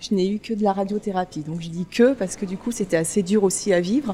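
A woman speaks at a fairly quick pace with a medium pitch. Her intonation stays fairly even. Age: 40s. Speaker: cancer patient. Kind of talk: personal testimony. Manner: halting, hesitant.

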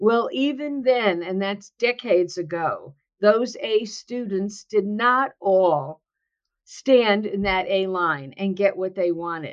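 At a very slow pace, a woman with an American accent speaks at a fairly high pitch with lively intonation. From New Jersey, US. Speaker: author and workplace consultant. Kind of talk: interview.

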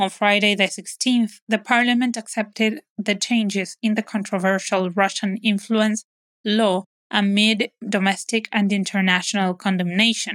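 A woman speaks in an ordinary speaking voice at medium pitch and a moderate pace, with fairly even intonation. The sound is dry and close with no echo, on a very clean recording with a silent background. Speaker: news podcast presenter. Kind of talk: news reading, scripted news bulletin. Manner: steady, formal, neutral newsreader delivery; brisk, matter-of-fact, rattling off dated facts and names.

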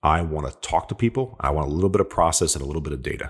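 A man with an American accent speaks in a very deep, low voice with vocal fry and lively intonation. The recording is very clean, with a silent background. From upstate New York, US. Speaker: technology sales leader. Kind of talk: interview conversation.

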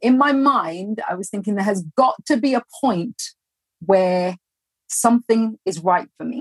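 Dry, close sound with no echo on a somewhat breathy woman's voice, medium in pitch, at a moderate pace with lively intonation. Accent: London. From London, England. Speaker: entrepreneur, former professional dancer. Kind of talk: interview.

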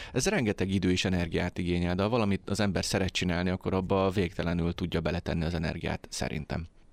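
A man with a very deep, low voice at a very fast pace, fairly even intonation and very even loudness, on a very clean recording with a silent background. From Hungary, Tisza region. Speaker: independent filmmaker. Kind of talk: radio interview. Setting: studio.

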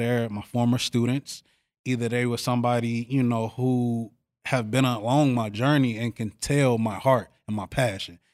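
A man's normal speaking voice with an American accent, medium in pitch and fairly even in intonation, dry and close with no echo in a very clean recording with a silent background. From Chicago, South Side. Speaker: youth mentor. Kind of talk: interview.

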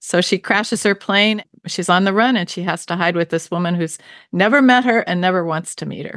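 With an American accent, a woman speaks at a fairly quick pace in a plain, everyday voice, medium in pitch with ordinary pitch variation, recorded with a dry, close sound with no echo against a quiet background. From US, Baltimore, Maryland. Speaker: novelist. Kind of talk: interview.

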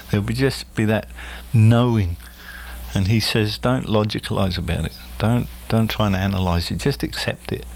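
With an Australian accent, a man with a fairly low pitch talks at a moderate pace, swinging very widely in pitch and taking long, frequent pauses. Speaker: spiritual medium. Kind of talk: casual interview. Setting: studio.

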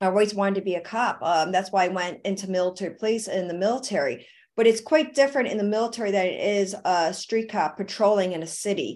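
At a very fast pace with hardly any pauses, a woman with an American accent and a medium pitch talks with ordinary pitch variation. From Buffalo, New York, US. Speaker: actress and film producer, army veteran. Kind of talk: interview.

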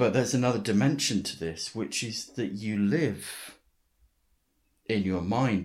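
In a very clean recording with a silent background, a man with a fairly low pitch and a normal speaking voice talks at a fairly slow pace with lively intonation. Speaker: podcast host and writing teacher. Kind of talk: interview.

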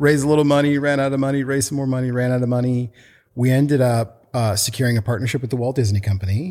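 Talking very fast with an American accent, a man keeps a medium pitch and fairly even intonation in a very clean recording with a silent background. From US Pacific Northwest, Portland. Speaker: children's book author and company founder. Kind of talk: casual interview chat.

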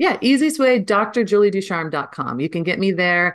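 Over a quiet background, a woman speaks in an animated tone at a fairly quick pace with ordinary pitch variation. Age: 40s. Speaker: business coach and entrepreneur. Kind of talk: interview.

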